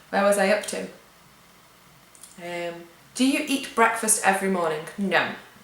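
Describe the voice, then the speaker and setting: Amid noticeable background noise and audible room echo, a woman of medium pitch speaks with lively intonation. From England. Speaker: vlogger. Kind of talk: casual Q&A vlog. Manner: chatty.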